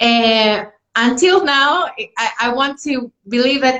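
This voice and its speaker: A woman speaks at a very slow pace. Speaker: food company representative. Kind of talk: live product presentation.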